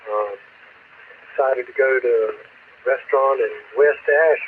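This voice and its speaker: The speaker has a South Carolina accent. Background noise is noticeable. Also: man. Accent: Southern US (South Carolina). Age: 70s. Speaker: amateur radio net control operator. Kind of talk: radio net check-in and chat. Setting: two-way radio repeater. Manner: halting, many fillers.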